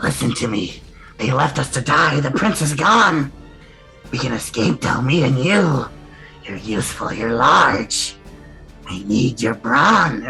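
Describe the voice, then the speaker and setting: A put-on character voice speaks at a fairly slow pace with a low-to-middle pitch. Music plays clearly in the background. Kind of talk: persuasive, scheming. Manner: whispering, conspiratorial.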